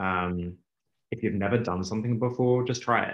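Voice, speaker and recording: The pace is moderate, with ordinary pitch variation. The recording is very clean, with a silent background. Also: man. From England (UK), partly Australia. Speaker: venture capital investor. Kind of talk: interview. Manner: hesitant, many fillers.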